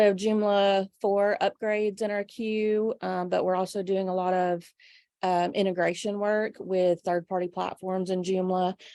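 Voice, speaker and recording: A woman with a Southern US accent speaks at a fairly slow pace and medium pitch in a flat, monotone delivery with a dark, mellow tone, on a very clean, dry and close recording with a silent background and no echo. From US South, North Georgia. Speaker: web design business owner. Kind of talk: casual chat.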